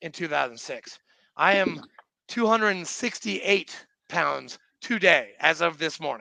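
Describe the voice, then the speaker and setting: At a moderate pace, a man raises and projects his voice, its tone bright and sharp, its pitch high, with ordinary pitch variation. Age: 40s. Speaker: podcast host, Marine veteran. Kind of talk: casual chat. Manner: animated.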